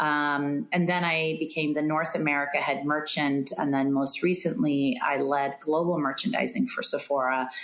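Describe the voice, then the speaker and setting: A woman speaks at a moderate pace in a very deep, low voice, with ordinary pitch variation and very even loudness. She hardly pauses, and room echo is audible. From California, US (born in Iran). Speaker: retail executive. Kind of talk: interview.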